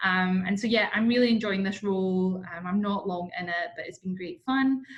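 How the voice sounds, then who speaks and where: A woman in a Scottish accent speaks at a moderate pace, her medium pitch showing ordinary variation. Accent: Scottish, sometimes heard as Irish. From Scotland. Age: 20s. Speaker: marketing manager, workshop presenter. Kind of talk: webinar presentation. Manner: casual, many fillers.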